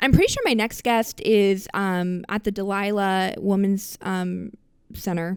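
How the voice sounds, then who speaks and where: Her tone is animated. This woman speaks at a medium pitch. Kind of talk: casual monologue. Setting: living room.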